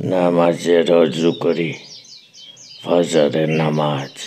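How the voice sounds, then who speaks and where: A man puts on a character voice, very deep and low, with monotone, flat intonation. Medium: read story. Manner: evasive, deferential.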